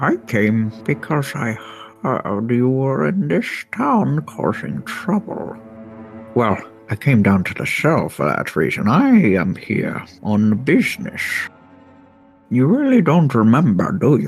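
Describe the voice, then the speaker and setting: With faint music behind him, a man uses a put-on character voice at medium pitch, moving at a fairly slow pace with long, frequent pauses. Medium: actual play. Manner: familiar, knowing.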